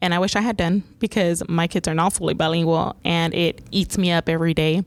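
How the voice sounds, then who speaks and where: Her pitch fairly low and her intonation monotone and flat, a woman talks at a fairly quick pace with very even loudness. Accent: Spanish. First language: Spanish. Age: 40s. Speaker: 911 dispatch supervisor. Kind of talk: podcast interview. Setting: dispatch center.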